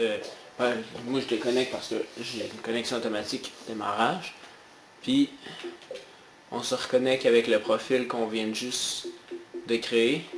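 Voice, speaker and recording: Against noticeable background noise, a man with a Quebec accent speaks at a medium pitch and a fairly slow pace, with fairly even intonation and long, frequent pauses. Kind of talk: casual gaming tutorial voice-over. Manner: casual, hesitant.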